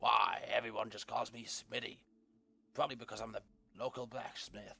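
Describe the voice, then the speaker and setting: A man's raspy, put-on character voice at a moderate pace, with big swings in loudness. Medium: game stream. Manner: friendly, folksy.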